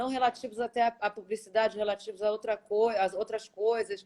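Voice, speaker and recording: A woman with a strong Rio de Janeiro accent, medium pitch and a moderate pace. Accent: strong carioca. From Rio de Janeiro, Brazil. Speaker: singer and voice-over artist. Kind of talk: casual interview chat. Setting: video call.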